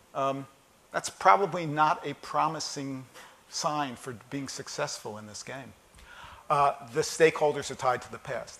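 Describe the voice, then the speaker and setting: Speaking fairly slowly with a US East Coast accent, a man uses a fairly high pitch, ordinary pitch variation and big swings in loudness. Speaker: keynote speaker on data analytics. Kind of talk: conference keynote talk. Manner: conversational, many fillers and repetitions.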